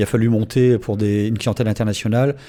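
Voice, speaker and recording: Talking at a fairly quick pace, a man with a fairly low pitch has a dark, mellow tone and a monotone, flat intonation. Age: 60s. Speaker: event association volunteer. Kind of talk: radio interview.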